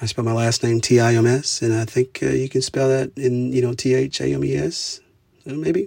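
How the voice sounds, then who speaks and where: In an Oklahoma accent, a man speaks at a moderate pace and medium pitch with ordinary pitch variation. His tone is dark and mellow, and somewhat breathy. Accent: rural Oklahoma American. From southeastern Oklahoma, US. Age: 40s. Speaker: podcaster and musician. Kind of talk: solo monologue podcast. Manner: halting, many fillers; informal, conversational.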